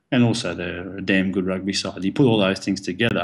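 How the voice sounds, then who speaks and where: A man with an Australian accent, very deep and low in pitch, at a fairly quick pace with ordinary pitch variation. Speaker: professional rugby player. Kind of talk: casual interview.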